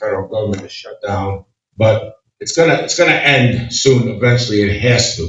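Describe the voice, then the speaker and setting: In an American accent, a man talks at a moderate pace with a medium pitch and ordinary pitch variation. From Oneida County, upstate New York. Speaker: political candidate. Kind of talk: candidate forum answer. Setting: community meeting with audience. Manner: halting.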